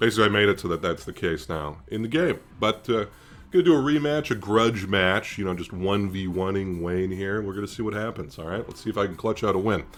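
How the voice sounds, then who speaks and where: Very fast speech from a fairly low-pitched man, ordinary pitch variation, music in the background. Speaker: gaming YouTuber and AI developer. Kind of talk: casual gameplay commentary. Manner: casual, with frequent filler words.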